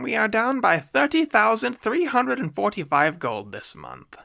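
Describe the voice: Putting on a character voice, a man speaks at a moderate pace in a high, shrill voice.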